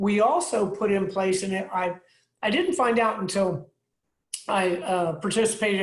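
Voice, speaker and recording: Somewhat breathy, a woman of medium pitch speaks at a moderate pace. Her intonation is fairly even. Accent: American. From Tampa, Florida. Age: 60s. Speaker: city mayor. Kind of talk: speech to community group.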